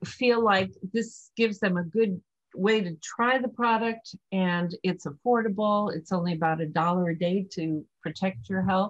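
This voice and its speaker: Somewhat breathy and medium in pitch, a woman talks at a fairly slow pace with ordinary pitch variation. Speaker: e-commerce business owner, charity co-founder. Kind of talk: interview.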